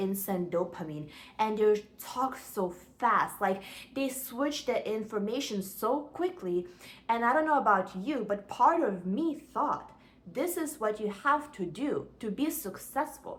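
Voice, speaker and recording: Lively intonation at a fairly slow pace. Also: woman. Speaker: self-help vlogger. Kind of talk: motivational talk to camera. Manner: animated.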